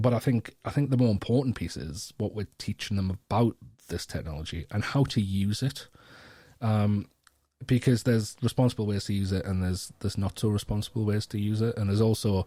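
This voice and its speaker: Fairly quick speech from a man with a fairly low pitch, a dark, mellow tone and ordinary pitch variation, on a very clean recording with a silent background. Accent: Geordie. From North East England. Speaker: education strategist and keynote speaker. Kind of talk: podcast interview answer. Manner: casual, hesitant, many fillers.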